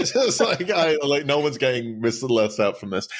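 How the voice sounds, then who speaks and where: A man's fairly high voice with very wide pitch swings over noticeable background noise. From southeast England, Folkestone. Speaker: pastor. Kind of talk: casual chat.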